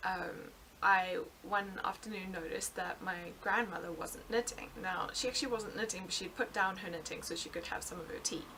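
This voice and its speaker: A woman with a South African accent, medium pitch and ordinary pitch variation, at a fairly quick pace, over noticeable background noise. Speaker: knitting podcaster. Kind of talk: casual podcast monologue. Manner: hesitant, many fillers.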